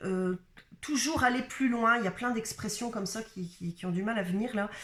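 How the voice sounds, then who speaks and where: A woman speaks with ordinary pitch variation. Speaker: spiritual coach / card reader. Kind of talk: channeled guidance reading. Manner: halting, many hesitations.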